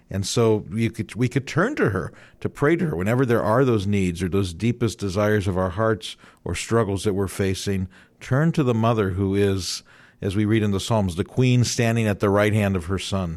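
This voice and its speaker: On a very clean recording with a silent background, a man with a Midwestern American accent speaks at a fairly low pitch. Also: ordinary pitch variation, moderate pace. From Northeast Ohio, Youngstown. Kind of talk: radio interview. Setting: radio studio.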